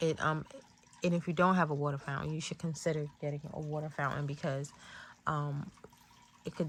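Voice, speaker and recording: A soft-spoken woman talks at a fairly quick pace, her pitch very deep and low and her voice somewhat breathy. Her intonation is monotone and flat, broken by long, frequent pauses. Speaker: tarot reader. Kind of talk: tarot reading talk. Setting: in bed at home. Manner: hesitant, many fillers.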